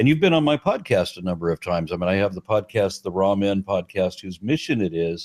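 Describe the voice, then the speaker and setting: A man with a plain, everyday voice talks at a fairly quick pace, fairly low in pitch with lively intonation. The recording is very clean, dry and close, with a silent background and no echo. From US, Los Angeles. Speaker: podcast host and atheist activist. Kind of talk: interview conversation.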